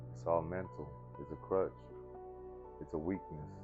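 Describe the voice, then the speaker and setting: Over music in the background, a man talks with a very deep, low pitch and fairly even intonation. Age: 30s. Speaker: person in addiction recovery. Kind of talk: interview answer. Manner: casual, reflective.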